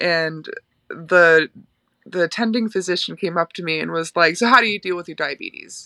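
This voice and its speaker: A woman's bright, sharp, fairly low voice with an American accent, ordinary pitch variation, and big swings in loudness. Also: moderate pace, dry, close sound with no echo. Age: 30s. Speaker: illustrator. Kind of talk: casual chat.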